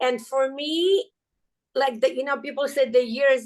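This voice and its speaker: Spoken with a non-native accent, the speech moves at a fairly slow pace with ordinary pitch variation. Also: woman. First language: not English. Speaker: podcast guest. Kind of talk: casual interview chat. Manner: halting, with many fillers.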